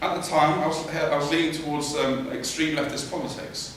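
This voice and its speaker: This man's voice sits at a fairly high pitch. Noticeable background noise runs beneath it. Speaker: student public speaker. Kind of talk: public speech to an audience.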